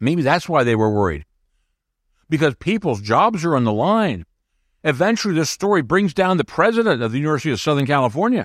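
Very fast and animated, a man with a fairly high pitch makes very wide pitch swings at very even loudness, recorded dry and close with no echo on a very clean track with a silent background. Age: 60s. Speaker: podcast host and book reviewer. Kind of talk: casual podcast monologue and interview.

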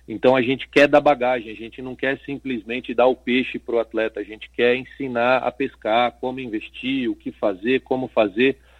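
A man at medium pitch, moderate pace and hardly any pauses, flat monotone intonation, big swings in loudness. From Brazil, Guarujá (Baixada Santista, São Paulo coast). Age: 30s. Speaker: footballer and entrepreneur. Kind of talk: radio interview.

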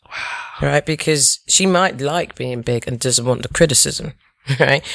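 Using a British accent, a woman speaks at a moderate pace with ordinary pitch variation. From England. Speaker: tech worker. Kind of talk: casual chat.

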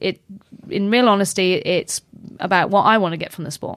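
A woman with a British accent at medium pitch, fairly quick in pace with fairly even intonation, on a very clean recording with a silent background. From UK. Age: 30s. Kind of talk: casual chat.

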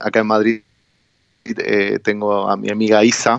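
This man has an Argentine accent. His pitch sits fairly low. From Argentina. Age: 30s. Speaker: traveller, philosophy teacher. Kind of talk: radio interview. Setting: phone call. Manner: halting.

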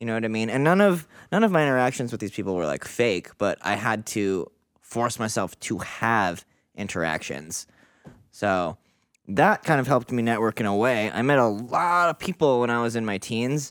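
A man with an unremarkable speaking voice talks at a medium pitch and moderate pace with lively intonation. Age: 30s. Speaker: artist. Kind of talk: casual chat.

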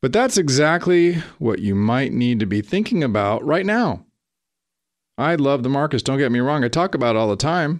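Against a quiet background, a man speaks in an upbeat tone. His pitch swings very widely. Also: moderate pace. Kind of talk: radio host patter. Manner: upbeat, salesy, polished radio-announcer cheer with a folksy, chatty pace.

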